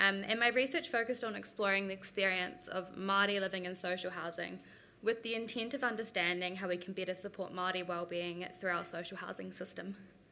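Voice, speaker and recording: A woman's bright, sharp voice at medium pitch, fairly quick and fairly even in intonation, with a New Zealand accent. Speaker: researcher. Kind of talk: conference presentation.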